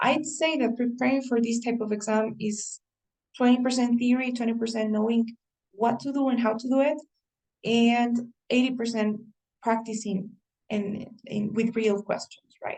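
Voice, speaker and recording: With a Spanish accent, a woman talks at a moderate pace in a fairly high pitch, her dark, mellow tone carrying fairly even intonation broken by long, frequent pauses. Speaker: English teacher. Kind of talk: online class. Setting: video call. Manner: halting.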